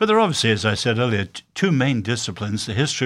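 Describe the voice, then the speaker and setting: With a British accent, the man speaks at a medium pitch. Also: very clean recording, silent background. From born in China, raised by British missionary family. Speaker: author and social critic. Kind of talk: interview.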